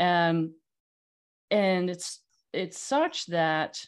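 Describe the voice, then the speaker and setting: A woman with a Dutch accent speaks at a fairly low pitch with ordinary pitch variation against a quiet background. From Netherlands. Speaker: magazine CEO and publisher. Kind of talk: casual interview.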